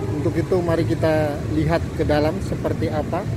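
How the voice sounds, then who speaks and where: Loud background noise fills the clip. A man is talking over it. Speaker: vlogger. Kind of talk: casual vlog chat. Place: station. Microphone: phone near.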